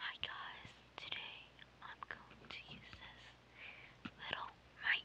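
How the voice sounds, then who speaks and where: Someone whispers at a very slow pace, with long, frequent pauses. Noticeable background noise sits behind the voice. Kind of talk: ASMR whispering. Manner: whispered.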